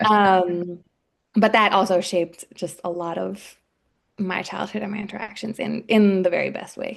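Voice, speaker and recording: A woman speaks with an American accent in a plain, everyday voice at a medium pitch. Her pace is moderate and her intonation fairly even, while her loudness swings widely. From Washington, D.C., US East Coast. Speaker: public health professional and personal trainer. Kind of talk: podcast interview.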